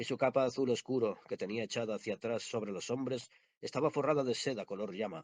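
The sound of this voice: Unforced reading voice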